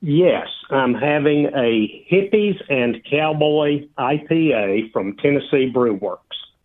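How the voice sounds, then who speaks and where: Speaking at a very slow pace with hardly any pauses, a man with a fairly high pitch uses lively intonation. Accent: Southern US. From Georgia, US South. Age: 60s. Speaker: retired beer enthusiast. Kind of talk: casual interview.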